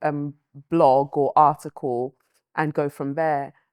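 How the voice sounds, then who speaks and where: A woman speaks in a London accent. The sound is dry and close with no echo, over a quiet background. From London, UK (born Lagos, Nigeria, moved at five). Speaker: writer and presenter. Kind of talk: interview.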